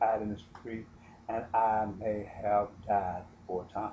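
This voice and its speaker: At a fairly slow pace, a man speaks in a somewhat breathy voice. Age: 60s. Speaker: self-styled prophet and retired railroad worker. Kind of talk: religious monologue with personal testimony.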